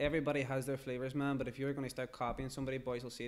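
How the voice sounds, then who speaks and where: Speaking very fast with a Derry accent, the man has a medium-pitched voice. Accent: Derry accent, speaks as he raps. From Northern Ireland, Derry. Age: young. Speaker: rapper. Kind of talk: podcast interview. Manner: animated.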